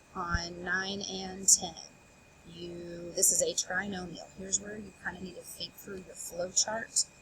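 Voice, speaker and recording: Over noticeable background noise, a woman of medium pitch talks at a fairly slow pace. Her intonation is monotone and flat, and her loudness swings widely. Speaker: math teacher. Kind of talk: tutorial.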